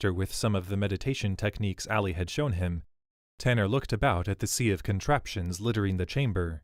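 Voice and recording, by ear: The background is quiet while someone does the reading aloud in a natural voice.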